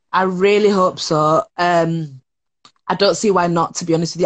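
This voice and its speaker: A woman with a Yorkshire accent, fairly low in pitch, in a monotone, flat intonation. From northern England (Leeds). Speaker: TV presenter and production worker. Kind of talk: casual chat. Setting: video call.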